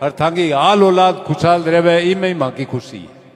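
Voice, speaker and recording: A man's high voice with ordinary pitch variation against noticeable background noise. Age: 70s. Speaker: community elder, speaker at a clan gathering. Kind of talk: public speech at community gathering.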